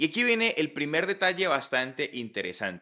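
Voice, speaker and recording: A man with lively intonation, a bright, sharp tone and a quiet background. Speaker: tech reviewer. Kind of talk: product review. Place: home room. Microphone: studio mic.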